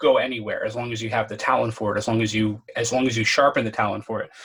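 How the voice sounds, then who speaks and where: A man with a medium pitch speaks in a monotone, flat intonation. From Connecticut. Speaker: podcast host. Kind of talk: casual chat. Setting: call. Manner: articulate.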